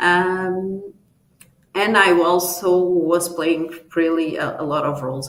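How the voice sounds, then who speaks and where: A woman's fairly low, fairly even voice at a very slow pace with audible room echo. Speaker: tech company leader, conference speaker. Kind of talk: conference talk. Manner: halting, many fillers.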